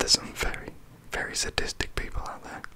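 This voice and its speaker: A man whispers in a relaxed tone at a fairly quick pace. Noticeable background noise is present. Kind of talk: whispered ASMR facts reading. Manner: whispered, soft, relaxed.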